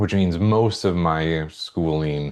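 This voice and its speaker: A man speaks at a very deep, low pitch with a Midwestern accent. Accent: Midwestern, long O's. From US Midwest, central Minnesota. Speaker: psychology professor. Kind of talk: course introduction video. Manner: casual with many fillers.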